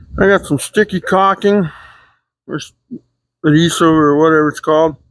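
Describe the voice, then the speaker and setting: The speech is mumbled at a moderate pace. The recording is very clean, with a silent background. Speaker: car builder. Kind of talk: workshop tutorial. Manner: mumbling; thinking aloud.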